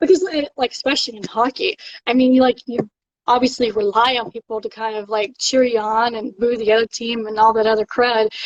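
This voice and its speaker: A woman with a Southern accent speaks in a high pitch, her tone animated. Her pace is moderate, and the sound is dry and close with no echo. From Alabama, US South. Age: 30s. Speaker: live streamer chatting with fans. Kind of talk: casual live chat. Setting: at home, live stream.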